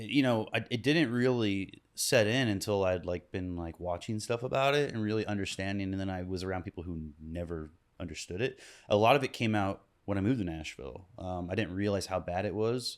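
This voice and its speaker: A man with an American accent speaks at a fairly low pitch and a fairly quick pace with ordinary pitch variation on a very clean recording against a silent background. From US Midwest, Kansas City. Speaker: musician. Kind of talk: casual chat. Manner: halting.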